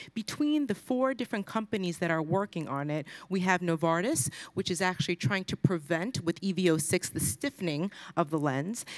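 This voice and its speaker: Over a quiet background, a woman with a normal speaking voice talks at a moderate pace and a fairly low pitch. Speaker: presenter. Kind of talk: conference presentation. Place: hall.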